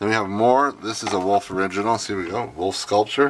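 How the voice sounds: This man's fairly low voice moves at a fairly quick pace, with ordinary pitch variation.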